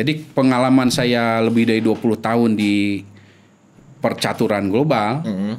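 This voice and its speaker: A man talks fairly slowly, with intonation that stays fairly even. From Indonesia, Sundanese region (West Java); West Java, Indonesia. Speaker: epidemiologist; guest. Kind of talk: interview. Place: studio. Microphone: studio mic.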